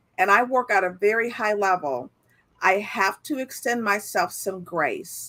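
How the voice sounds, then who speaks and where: A woman with a fairly high pitch speaks at a fairly slow pace in an unremarkable speaking voice. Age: 60s. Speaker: entrepreneur and author. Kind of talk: interview.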